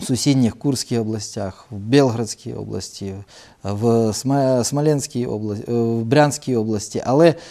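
At a fairly slow pace, a man speaks in a dark, mellow tone at a medium pitch with ordinary pitch variation, captured in a very clean recording with a silent background. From Ukraine, Shostka (Sumy region). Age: 40s. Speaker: regional governor, politician. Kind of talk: TV interview. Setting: TV studio, live broadcast.

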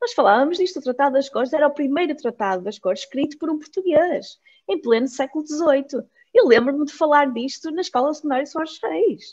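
This woman talks at a fairly quick pace in a high voice, with lively intonation. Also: quiet background. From Mozambique, lives in Porto. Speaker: master's researcher presenting thesis; presenter. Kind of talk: academic presentation. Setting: video call. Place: home room. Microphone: video call.

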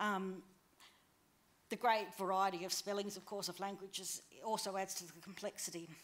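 An Australian-accented woman speaks at a moderate pace with monotone, flat intonation. Her loudness swings widely, and she leaves long, frequent pauses. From northwest New South Wales, Australia. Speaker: conference presenter. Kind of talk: conference talk. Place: hall. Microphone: podium.

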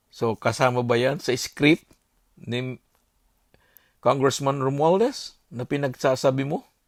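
A man with a medium-pitched voice speaks with long, frequent pauses. The recording is very clean, with a silent background. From Bicol, Philippines. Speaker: political commentator vlogger. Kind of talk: monologue. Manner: animated.

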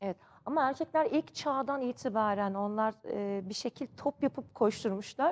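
The woman's voice sits high in pitch and moves with lively intonation at a moderate pace. The sound is dry and close, with no echo. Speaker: TV sports show presenter. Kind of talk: TV talk show. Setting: TV studio. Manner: effusive.

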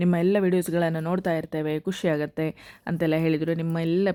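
A woman with a fairly low pitch over noticeable background noise. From coastal Karnataka (Dakshina Kannada / Udupi area). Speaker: cooking vlogger and restaurant owner. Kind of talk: travel vlog narration; cooking tutorial.

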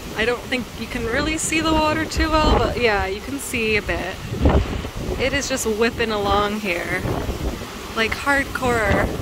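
Long, frequent pauses in a dry sound with no echo, under loud background noise. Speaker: travel vlogger. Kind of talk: casual vlog chat. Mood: nervous, giggly. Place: boat. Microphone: phone near.

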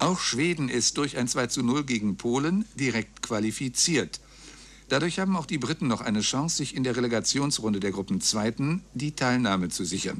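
Lively intonation runs through this man's speech. He keeps to a moderate pace. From Germany. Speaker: radio news announcer. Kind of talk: radio news reading. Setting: radio broadcast, 1999 recording. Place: booth. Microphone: studio mic.

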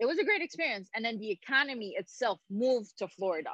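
A woman talks at a very fast pace in a dry sound with no echo and a quiet background. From Haiti. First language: French. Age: 30s. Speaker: former pro tennis player and Olympian. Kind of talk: casual interview. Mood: warm, reminiscing. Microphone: video call.

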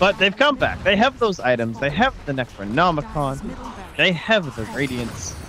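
A man at a fairly high pitch with very wide pitch swings, a moderate pace and noticeable background noise. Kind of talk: esports co-commentary. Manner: conversational, analytical.

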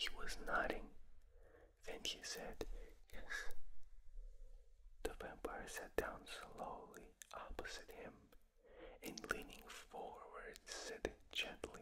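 A man whispers at a very slow pace. He leaves long, frequent pauses. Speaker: ASMR reader. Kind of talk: ASMR book reading. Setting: binaural recording. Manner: whispered; gentle, soft-spoken. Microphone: studio mic.

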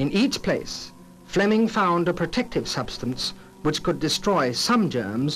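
The pitch swings very widely while the loudness stays very even. The pace is moderate, with music in the background. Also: man. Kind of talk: documentary narration.

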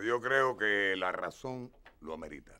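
A man talks at a fairly low pitch with a bright, sharp tone. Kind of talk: scripted drama dialogue, announcement to group. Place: studio.

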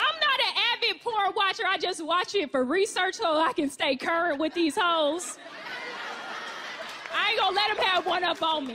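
A woman uses a raised, projected voice with lively intonation at a moderate pace, with light background noise. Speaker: stand-up comedian. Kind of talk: stand-up comedy routine. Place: stage. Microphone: handheld.

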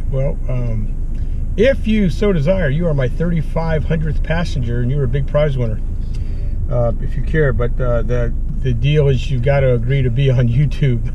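The man talks at a moderate pace with a dry sound and no echo. Noticeable background noise runs underneath. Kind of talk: casual vlog chat. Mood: friendly, upbeat. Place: car. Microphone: camera far.

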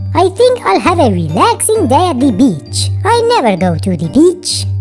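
Clear music plays in the background. Over it comes a put-on character voice. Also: moderate pace. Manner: vampire voice.

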